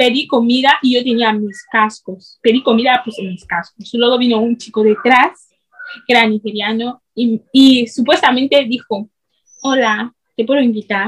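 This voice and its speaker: Speaking at a fairly slow pace, a woman with a high pitch keeps her intonation fairly even. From Equatorial Guinea. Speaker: student and video creator. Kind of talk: interview.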